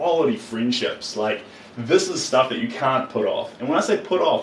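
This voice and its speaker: Over noticeable background noise, a man with a New Zealand accent speaks in an animated tone. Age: 30s. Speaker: artist. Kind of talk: live stream chat while painting. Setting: live stream.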